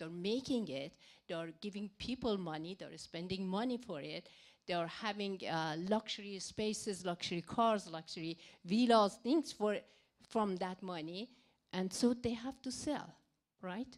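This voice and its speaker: A woman at medium pitch, fairly slow in pace, with ordinary pitch variation, in a very clean recording with a silent background. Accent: non-native. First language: not English. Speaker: audience member asking a question. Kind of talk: Q&A question. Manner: slow, halting.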